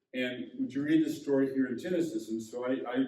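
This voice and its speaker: At a moderate pace, this dark, mellow voice shows ordinary pitch variation against audible room echo. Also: man. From US Midwest, Indiana. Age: 60s. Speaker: pastor. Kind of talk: sermon.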